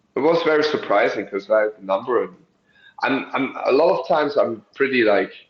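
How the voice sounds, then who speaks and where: A man speaks with a German accent. He talks at a fairly quick pace. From Germany. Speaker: professional wrestler. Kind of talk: interview. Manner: halting, with fillers.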